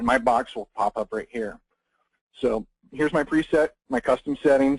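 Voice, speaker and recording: A man's fairly quick voice at a medium pitch, with ordinary pitch variation and a dry, close sound with no echo. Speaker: photographer presenting a webinar. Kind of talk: webinar tutorial. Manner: fast.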